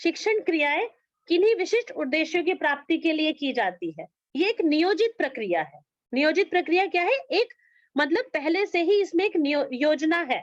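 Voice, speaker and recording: A woman with an extremely high pitch speaks with lively intonation in a dry, close sound with no echo. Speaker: yoga education teacher. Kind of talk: online class lecture.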